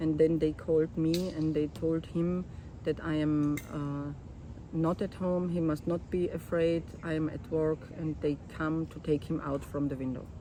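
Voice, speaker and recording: Speaking at a fairly slow pace with a German accent, a woman uses a very deep, low pitch and monotone, flat intonation. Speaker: photographer and documentary artist. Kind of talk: interview, personal life story. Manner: halting.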